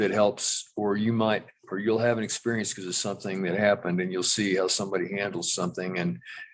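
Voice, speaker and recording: In a fairly low voice, a man talks very fast with fairly even intonation. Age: 70s. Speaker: county commissioner. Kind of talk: public meeting discussion. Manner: halting.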